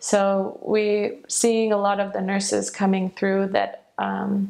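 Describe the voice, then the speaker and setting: A woman with a Midwestern accent talks at a very slow pace. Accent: American Midwest. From Michigan, USA. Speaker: optometrist and education manager. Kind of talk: interview answer.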